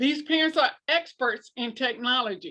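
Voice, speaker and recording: A woman speaks in a raised, projected voice with a bright, sharp tone and a high pitch, moving at a fairly slow pace with ordinary pitch variation on a very clean recording with a silent background. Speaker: school leadership trainer, former principal. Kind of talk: training presentation.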